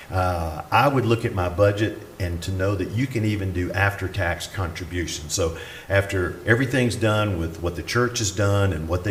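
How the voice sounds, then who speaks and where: A man with a Southern US accent speaks at a fairly quick pace and a fairly low pitch. Audible room echo and noticeable background noise surround him. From US South. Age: 60s. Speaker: retired pastor. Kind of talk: conference talk.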